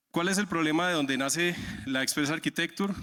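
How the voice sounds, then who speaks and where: Spoken at a fairly quick pace in a strong Santander Colombian accent, the voice has a bright, sharp tone and ordinary pitch variation, recorded very cleanly against a silent background. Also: man. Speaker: software architect, conference speaker. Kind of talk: conference talk. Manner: many filler 'eh' hesitations.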